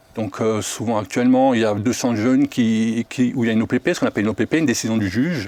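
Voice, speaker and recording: Talking at a very fast pace with hardly any pauses, a man comes across in a dry, close recording with no echo. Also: medium pitch for a man, ordinary pitch variation. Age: 60s. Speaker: foster parent. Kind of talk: casual chat.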